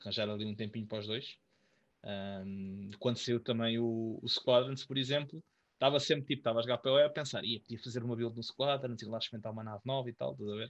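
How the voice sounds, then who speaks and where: A man talks at a very fast pace in a European Portuguese accent. His intonation stays fairly even. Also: medium pitch for a man. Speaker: podcast co-host. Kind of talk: casual chat.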